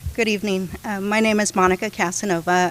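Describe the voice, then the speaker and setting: A woman with a Spanish accent at a moderate pace, her intonation monotone and flat, music in the background. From California. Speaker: county council candidate. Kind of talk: candidate forum statement.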